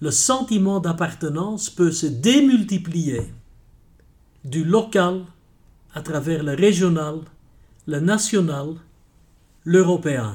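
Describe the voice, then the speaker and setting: A man's high voice, very slow and lively in intonation, with long, frequent pauses. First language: Dutch (speaking French). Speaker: senior judge, president of a European court. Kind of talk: interview.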